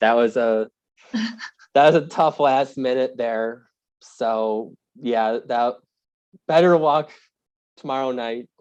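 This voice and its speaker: A man speaks very slowly with a strong Wisconsin accent. His pitch is medium, and he leaves long, frequent pauses. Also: ordinary pitch variation. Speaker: sports reporter, podcast guest.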